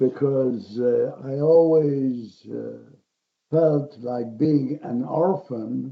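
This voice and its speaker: A man's voice at a fairly high pitch. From Poland, Warsaw. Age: 90s. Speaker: Holocaust survivor speaker. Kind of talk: personal testimony. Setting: virtual event.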